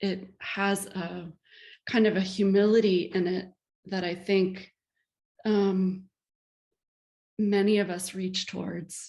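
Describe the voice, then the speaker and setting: Somewhat breathy and medium-pitched, a woman speaks very slowly in a monotone, flat intonation. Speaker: lecture series host introducing a guest artist. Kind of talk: speaker introduction at a lecture. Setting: video call. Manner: hesitant, many fillers.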